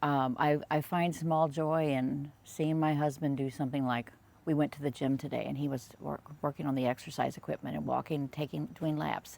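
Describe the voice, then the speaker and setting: The speech runs on with hardly any pauses. Its intonation is monotone and flat. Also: woman, very deep, low pitch for a woman, moderate pace. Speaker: vlogger. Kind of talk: casual reflective monologue. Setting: outdoors on patio. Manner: halting, many fillers.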